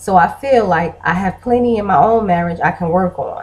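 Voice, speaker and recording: A woman speaks at a moderate pace and medium pitch, somewhat breathy, with ordinary pitch variation. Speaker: vlogger and blogger. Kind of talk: casual vlog monologue.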